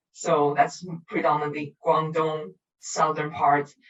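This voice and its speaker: This woman has a Cantonese accent and a very deep, low voice. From Macau, with childhood in Australia. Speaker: artist. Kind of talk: interview. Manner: halting, many fillers.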